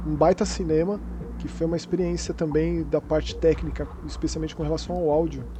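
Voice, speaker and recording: Noticeable noise fills the background. Over it, a man speaks at a fairly quick pace. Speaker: podcast host. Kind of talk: casual chat.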